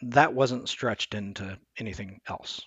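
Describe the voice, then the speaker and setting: A man with an American accent, a plain, everyday voice, fairly low pitch with ordinary variation, a moderate pace, and a dry, close sound with no echo. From US Midwest, Omaha, Nebraska. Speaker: person in recovery from addiction. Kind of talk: casual interview.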